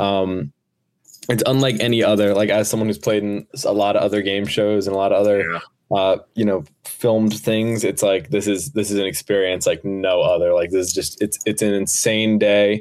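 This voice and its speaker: This man has an unremarkable speaking voice with an American accent and fairly low pitch. He talks at a moderate pace, with fairly even intonation and very even loudness. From New Jersey. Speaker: podcast co-host and production crew, lifeguard. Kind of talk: casual podcast chat.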